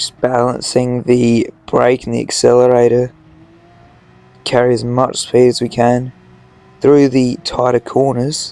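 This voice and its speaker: A man talks at a fairly slow pace with long, frequent pauses. His intonation is monotone and flat, with noticeable background noise behind him. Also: medium pitch for a man. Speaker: sim racing gamer. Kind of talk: gameplay commentary voiceover.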